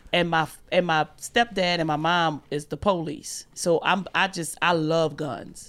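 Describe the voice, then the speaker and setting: On a very clean recording with a silent background, a woman with a New Orleans accent speaks at a fairly low pitch and fairly slow pace with fairly even intonation. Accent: Southern, New Orleans. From US South, New Orleans, Louisiana. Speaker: comedian. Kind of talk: casual chat.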